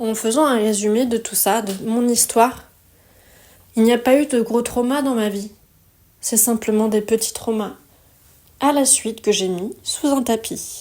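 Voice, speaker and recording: In a very clean recording with a silent background, a woman speaks at a fairly slow pace with a fairly high pitch and a dark, mellow tone. Her intonation stays fairly even, broken by long, frequent pauses. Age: 30s. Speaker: wellness podcaster. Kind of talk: personal testimony monologue. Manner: reflective, conversational.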